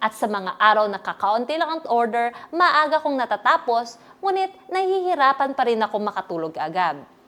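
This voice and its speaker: A woman speaks at a moderate pace with a high voice. Her pitch swings very widely. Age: 20s. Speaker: online seller giving product testimonial. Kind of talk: scripted sales testimonial.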